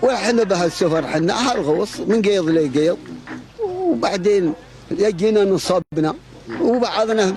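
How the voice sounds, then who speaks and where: With noticeable background noise behind him, a man speaks at a fairly slow pace in a high pitch, using lively intonation and very even loudness. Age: 70s. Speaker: fisherman. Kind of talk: interview.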